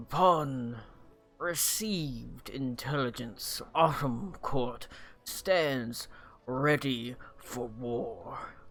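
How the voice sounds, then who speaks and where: A put-on character voice rumbles at a low-to-middle pitch and a very slow pace, with faint music in the background. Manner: grave, commanding.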